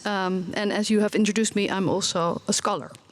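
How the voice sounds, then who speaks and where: A woman's medium-pitched voice in a Dutch accent. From Netherlands. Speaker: researcher and parent. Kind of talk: conference presentation. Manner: halting, many fillers.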